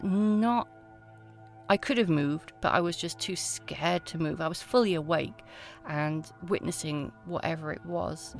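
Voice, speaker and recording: A woman's fairly low voice with very wide pitch swings, music in the background. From Wales. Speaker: folklore researcher. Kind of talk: interview answer.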